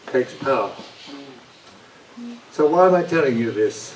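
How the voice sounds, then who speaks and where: A man speaks with a London accent and ordinary pitch variation. Noticeable noise sits in the background. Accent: British English, London. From London, England. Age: 80s+. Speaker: audience member. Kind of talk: audience question.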